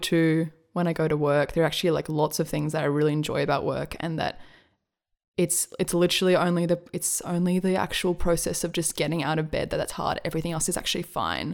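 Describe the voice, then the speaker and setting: Speaking at a fairly quick pace with an Australian accent, a woman holds a fairly low pitch and monotone, flat intonation on a very clean recording with a silent background. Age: 20s. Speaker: musician and writer. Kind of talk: casual chat.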